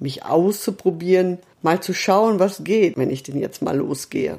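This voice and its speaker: Lively intonation and a dark, mellow tone come through at a moderate pace. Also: woman. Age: 50s. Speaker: podcast host, self-coaching. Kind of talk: podcast monologue. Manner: not quiet, rather loud.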